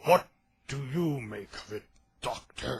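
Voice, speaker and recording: Bellowing loudly in a raspy, put-on character voice, a man speaks at medium pitch and a fairly slow pace. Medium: read story. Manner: commanding, gruff.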